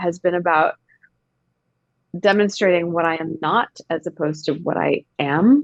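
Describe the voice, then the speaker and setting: In a dry, close recording with no echo, a woman talks at a moderate pace, her fairly low pitch showing ordinary variation. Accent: Canadian. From Canada, small town. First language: Gujarati. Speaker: actor. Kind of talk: casual chat.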